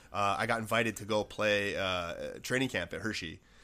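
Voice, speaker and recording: On a very clean recording with a silent background, a man with a Buffalo accent speaks at a fairly low pitch in a bright, sharp tone. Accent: Western New York (Buffalo). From Buffalo, New York. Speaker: former pro hockey player and business owner. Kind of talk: casual chat.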